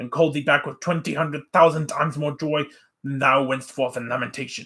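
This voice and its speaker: A man's put-on character voice, fairly high and monotone, at a fairly quick pace in a very clean recording with a silent background. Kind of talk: Shakespearean declamation. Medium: read story. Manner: lecturing, forceful.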